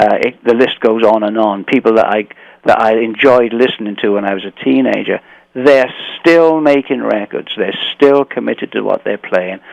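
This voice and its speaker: This man has an English accent and a medium pitch. He speaks at a moderate pace with ordinary pitch variation, and the sound is dry and close with no echo. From England. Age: 60s. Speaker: blues guitarist. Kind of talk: radio interview. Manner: halting.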